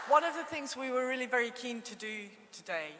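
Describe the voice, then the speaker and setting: Woman with a Scottish accent, audible room echo and noticeable background noise. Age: 60s. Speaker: conference chair. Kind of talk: conference hosting. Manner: hesitant.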